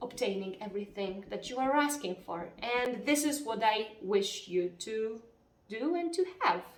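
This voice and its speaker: With a Polish accent, a woman speaks at a moderate pace and medium pitch, showing ordinary pitch variation. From Poland. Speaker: spiritual self-help vlogger. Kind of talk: casual talk to camera. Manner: occasionally halting.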